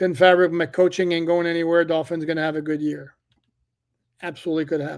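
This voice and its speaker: A man talks at a very fast pace with a high pitch. His intonation is monotone and flat. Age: 60s. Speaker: sports journalist and podcast host. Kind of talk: live stream chat and analysis. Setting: live stream. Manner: casual, conversational with fillers.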